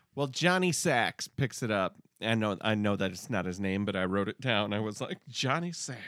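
Fairly low-pitched man with a Midwestern accent and lively intonation at a moderate pace, a dry, close sound with no echo on a very clean recording with a silent background. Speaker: podcast co-host reviewing TV episodes. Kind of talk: casual chat.

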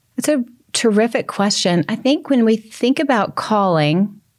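Her pitch swinging very widely, a woman with an American accent talks at a fairly slow pace. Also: very clean recording, silent background. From US South. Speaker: author and speaker. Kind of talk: interview.

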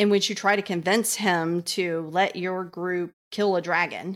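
A woman's voice at a medium pitch and a fairly slow pace, on a very clean recording with a silent background. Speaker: game designer and freelance writer. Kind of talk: casual chat. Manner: loud, talkative.

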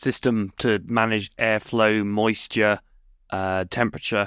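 Recorded very cleanly against a silent background, a man with a British accent speaks at a fairly low pitch in a dry, close sound with no echo. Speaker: research scientist, co-host. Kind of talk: casual chat, radio show.

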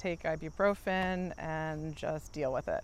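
In an American accent, a woman speaks at a fairly slow pace with a fairly low pitch and monotone, flat intonation, in a very clean recording with a silent background. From Maryland. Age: 40s. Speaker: knee replacement patient. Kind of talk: interview testimony. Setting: outdoors.

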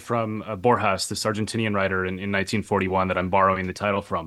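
A man talks at a very fast pace in an American accent. Noticeable background noise runs behind him. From Minnesota, US Midwest. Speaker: professor and author. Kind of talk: interview. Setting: hotel room.

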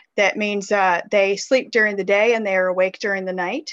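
A woman with an American accent speaks in a normal speaking voice at a moderate pace. Her pitch sits in the medium range, with ordinary variation. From US South (Mississippi River region). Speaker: children's author. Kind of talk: interview.

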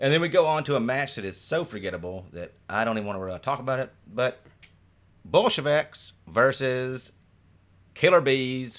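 Using an ordinary speaking voice, a man with an American accent talks at a moderate pace and medium pitch with lively intonation. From Detroit, Michigan. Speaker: podcast host, improviser. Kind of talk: casual chat.

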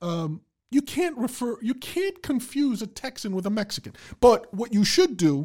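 A man speaks at a high pitch with very wide pitch swings. The recording is very clean, the background silent. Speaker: podcast host. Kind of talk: casual comedic banter. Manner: joking, sarcastic.

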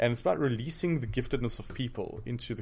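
Talking at a very fast pace, a man with a South African accent uses a medium pitch with ordinary pitch variation. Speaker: pastor and seminary professor. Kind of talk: interview. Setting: studio.

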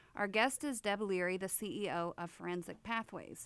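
A woman with an unremarkable speaking voice talks at a moderate pace. Her pitch is medium, with ordinary variation. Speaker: podcast co-host and business owner. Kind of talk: casual interview.

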